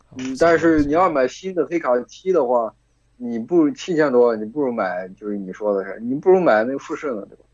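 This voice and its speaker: With an ordinary speaking voice, a man speaks with lively intonation and big swings in loudness. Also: medium pitch for a man. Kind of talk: casual chat among friends. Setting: voice call with bluetooth earphones. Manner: casual, profane.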